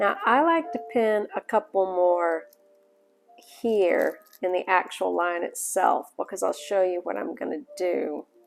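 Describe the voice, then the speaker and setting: A woman with a strong Southern US accent speaks at a fairly slow pace. Music plays in the background. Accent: heavy Southern US. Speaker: sewing tutorial maker. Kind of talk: tutorial. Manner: casual, conversational.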